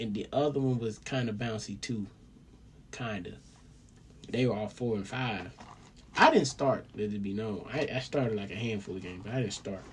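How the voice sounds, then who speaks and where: At a moderate pace and medium pitch, a man speaks in an animated tone with ordinary pitch variation and long, frequent pauses. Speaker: solo vlogger rambling to himself. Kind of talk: casual monologue. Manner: whispering.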